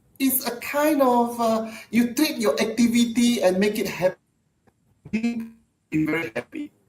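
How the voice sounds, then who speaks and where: The speech is broken by long, frequent pauses, with music playing in the background. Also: moderate pace. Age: 60s. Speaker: network marketing leader. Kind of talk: podcast interview. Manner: halting, with frequent fillers and repeats.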